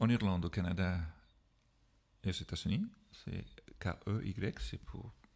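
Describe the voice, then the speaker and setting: With a non-native accent, a man speaks in a very deep, low pitch with vocal fry and ordinary pitch variation, leaving long, frequent pauses. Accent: foreign accent in French. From Ireland. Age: 40s. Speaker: whisky expert. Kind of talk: casual chat. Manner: halting.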